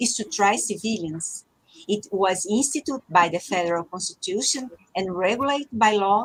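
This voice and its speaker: Somewhat breathy and fairly high in pitch, a woman with a Portuguese accent talks at a moderate pace with very wide pitch swings. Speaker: judge. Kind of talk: panel discussion. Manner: halting.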